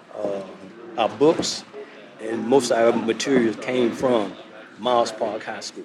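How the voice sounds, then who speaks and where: Pausing long and often, a man with an American accent talks at a fairly slow pace with fairly even intonation over noticeable background noise. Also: medium pitch for a man, big swings in loudness. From Charlotte, North Carolina. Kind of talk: group discussion.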